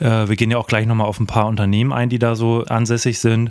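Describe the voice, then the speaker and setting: At a fairly quick pace, a man with a medium-pitched voice speaks in a flat, monotone way. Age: 20s. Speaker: podcast co-host. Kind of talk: casual finance chat.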